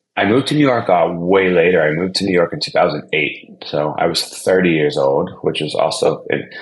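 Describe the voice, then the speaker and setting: A man talks at a fairly quick pace with an American accent. Noticeable background noise runs behind him. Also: hardly any pauses. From Ohio, outside Cleveland. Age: 40s. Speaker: DJ and brand consultant. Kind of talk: podcast interview. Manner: casual, conversational.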